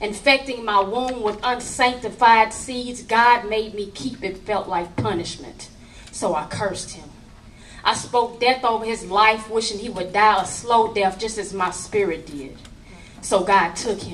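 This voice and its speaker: Over noticeable background noise, a woman speaks at a fairly slow pace and fairly high pitch, with ordinary pitch variation and big swings in loudness. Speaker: spoken word poet. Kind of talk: slam poetry performance.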